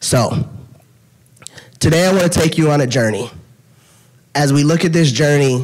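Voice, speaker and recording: A man with a fairly high voice speaks in an animated tone with ordinary pitch variation, very even loudness, long, frequent pauses and audible room echo. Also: moderate pace. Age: 30s. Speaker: dietitian and patient speaker. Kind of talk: conference talk.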